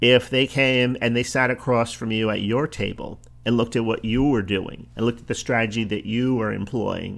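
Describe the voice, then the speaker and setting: A man is speaking. He has a slight New Jersey accent. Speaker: podcast host, business coach. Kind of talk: solo podcast monologue.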